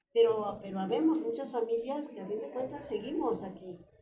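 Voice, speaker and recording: A woman speaks at a moderate pace with audible room echo and noticeable background noise around her. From Mexico City, Coyoacán. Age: 80s+. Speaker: neighborhood resident. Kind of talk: interview.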